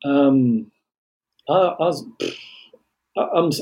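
A man with an English Midlands accent, medium pitch, a dark, mellow tone and lively intonation. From England. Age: 50s. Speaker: vaccine injury advocate. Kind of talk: interview.

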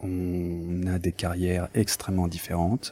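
The man's pitch is very deep and low. He talks very slowly. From France, of Portuguese descent. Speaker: lawyer. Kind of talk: interview. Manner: hesitant, many filler sounds.

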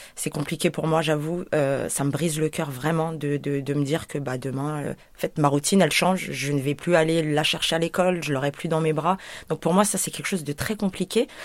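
A woman with a very deep, low pitch talks at a fairly quick pace, keeping her intonation fairly even. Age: 30s. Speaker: home childcare worker. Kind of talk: testimony. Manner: hesitant, many fillers.

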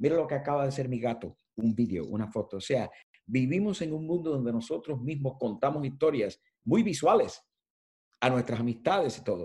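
With a dark, mellow tone and a somewhat breathy quality, a man at medium pitch talks at a fairly quick pace using lively intonation. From Cuba. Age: 70s. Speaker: editorial design consultant and journalism professor. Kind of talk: interview.

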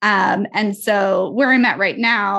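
An ordinary speaking voice with ordinary pitch variation comes through over a quiet background. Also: woman. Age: 20s. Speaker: brand strategist and marketing coach. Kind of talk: casual chat.

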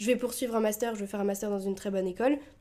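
A fairly high-pitched woman's voice, dark and mellow in tone, with fairly even intonation. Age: 20s. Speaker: podcast co-host. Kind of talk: casual chat.

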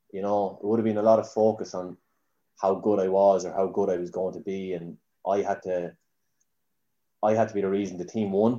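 This man speaks in a Kildare Irish accent, his fairly low pitch carried by a dark, mellow tone. His intonation stays fairly even at a moderate pace. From Ireland, Newbridge, County Kildare. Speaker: Gaelic footballer. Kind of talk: casual chat.

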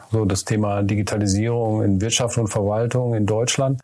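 With noticeable noise behind him, the man's medium-pitched voice keeps to a moderate tempo. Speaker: podcast host and business consultant. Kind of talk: casual interview.

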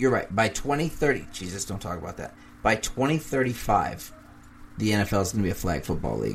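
A man's fairly low voice with lively intonation and vocal fry, at a moderate pace. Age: 30s. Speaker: podcast co-host. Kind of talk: casual chat.

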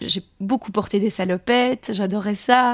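A woman's medium-pitched voice in a very clean recording with a silent background and a dry, close sound with no echo. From Belgium, Charleroi area. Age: 30s. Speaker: association founder and filmmaker. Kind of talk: interview. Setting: studio. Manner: halting.

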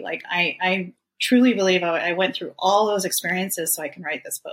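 A woman with a normal speaking voice at a medium pitch, moderate pace and ordinary pitch variation. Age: 40s. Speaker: author. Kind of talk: interview.

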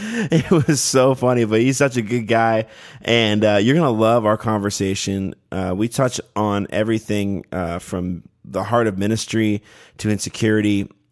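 A man uses an ordinary speaking voice at a moderate pace with ordinary pitch variation. The recording is very clean, with a silent background. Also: fairly low pitch for a man. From Canada. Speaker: podcast host. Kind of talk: casual interview chat. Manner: friendly, upbeat.

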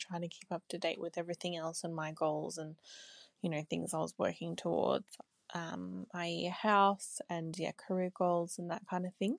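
Speaking at a moderate pace, a woman with an Australian accent has a fairly low pitch and monotone, flat intonation. The very clean recording has a silent background and a dry, close sound with no echo. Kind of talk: recorded listener question. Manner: halting.

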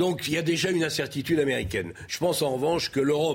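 A man with a fairly high voice talks at a very fast clip, his intonation lively and his delivery somewhat breathy. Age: 60s. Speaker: political commentator. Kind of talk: televised debate.

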